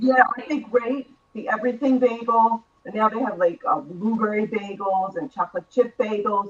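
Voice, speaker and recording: An ordinary speaking voice from a woman with an American accent, fairly high in pitch, at a moderate pace with ordinary pitch variation. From New York. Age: 60s. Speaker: author, former radio host and reporter. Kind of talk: talk show interview.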